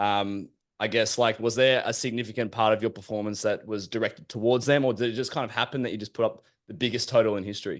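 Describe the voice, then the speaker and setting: The voice carries an Australian accent and fairly even intonation. The background is quiet. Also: man. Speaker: podcast host. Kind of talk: casual chat.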